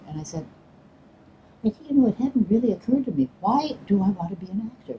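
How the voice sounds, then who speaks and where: A woman in an American accent, medium-pitched and somewhat breathy with a dark, mellow tone, very wide pitch swings, big swings in loudness and a fairly quick pace. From Chicago. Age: 80s+. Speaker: stage actor. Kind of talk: interview answer. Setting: outdoors.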